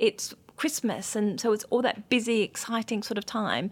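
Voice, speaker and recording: With an Australian accent, a woman speaks at a moderate pace in a fairly high voice, her intonation fairly even. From rural Australia. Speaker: acupuncturist and skincare founder. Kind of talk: interview. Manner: calm.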